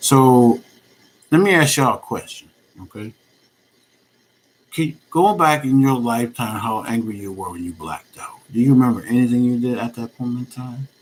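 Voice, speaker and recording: A soft-spoken man with a medium pitch talks at a moderate pace. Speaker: vlogger. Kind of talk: personal vlog monologue.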